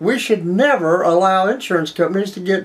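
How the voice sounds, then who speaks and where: This man talks with a US Midwestern accent. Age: 70s. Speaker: political commentary show host. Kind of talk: political commentary monologue. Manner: conversational, with repeated false starts.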